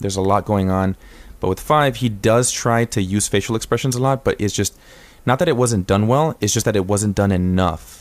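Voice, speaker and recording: Talking at a fairly quick pace, a man keeps a fairly low pitch with ordinary variation and very even loudness. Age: 20s. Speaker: podcast host. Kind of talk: casual chat. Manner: animated.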